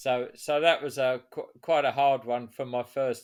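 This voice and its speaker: A man speaks with an English accent at a moderate pace. His pitch varies in an ordinary way, and the recording is very clean, with a silent background. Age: 70s. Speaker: author and veteran runner. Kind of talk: interview. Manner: halting.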